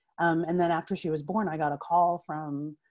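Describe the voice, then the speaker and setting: Against a quiet background, a woman with an American accent talks at a moderate pace in a very deep, low pitch. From US Northeast (Pennsylvania). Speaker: writer. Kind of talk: casual interview conversation. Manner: animated, laughs often. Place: home room. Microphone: earbuds.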